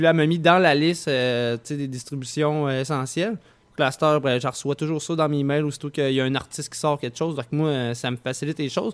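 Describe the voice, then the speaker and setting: Someone talks at a fairly quick pace in a Quebec accent. The intonation stays fairly even. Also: man, fairly high pitch for a man. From Quebec, Saint-Nicolas near Quebec City. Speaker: radio host. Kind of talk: casual radio chat. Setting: home studio, remote radio show.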